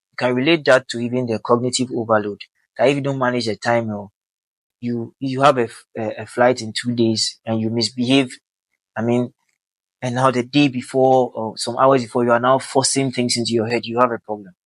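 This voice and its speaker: At a fairly quick pace, a man with a Ghanaian accent speaks with monotone, flat intonation, the sound dry and close with no echo. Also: medium pitch for a man. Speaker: helicopter pilot and aviation vlogger. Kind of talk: casual talk to camera. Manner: conversational, with Ghanaian Pidgin phrases.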